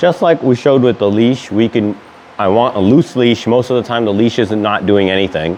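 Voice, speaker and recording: A man speaks at a fairly quick pace with a medium pitch and ordinary pitch variation. Noticeable background noise can be heard. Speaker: dog trainer. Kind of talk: tutorial. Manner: casual, some filler words.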